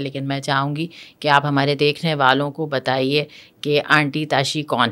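This woman has a very deep, low pitch and a monotone, flat intonation. She speaks at a fairly slow pace. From Pakistan. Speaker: podcast host. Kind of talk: interview conversation. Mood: warm, polite. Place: studio. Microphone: studio mic.

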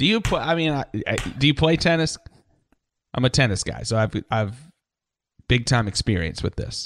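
With vocal fry and lively intonation, a man speaks with long, frequent pauses in a dry sound with no echo. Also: moderate pace. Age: 30s. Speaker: radio host and musician. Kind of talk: casual chat. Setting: video call. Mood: relaxed, joking. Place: home room. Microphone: studio mic.

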